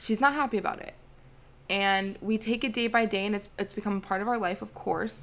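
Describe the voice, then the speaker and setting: A woman with an unremarkable speaking voice talks at a fairly quick pace in a medium pitch, her intonation fairly even, on a very clean recording with a silent background. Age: 20s. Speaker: spiritual wellness podcaster and Reiki healer. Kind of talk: casual solo podcast monologue.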